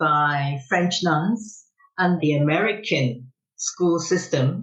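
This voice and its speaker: Speaking at a very slow pace with very even loudness, a woman has a fairly low pitch, a somewhat breathy sound and ordinary pitch variation. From Macau. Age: 70s. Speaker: business executive. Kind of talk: podcast interview.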